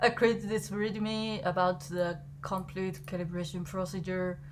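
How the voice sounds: A woman speaks at a slow pace. Her pitch moves very little.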